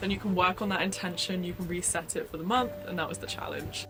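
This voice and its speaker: Music runs behind a woman talking at a fairly quick pace. Her pitch is medium. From England, near London. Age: 20s. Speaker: lifestyle vlogger. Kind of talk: casual vlog voice-over.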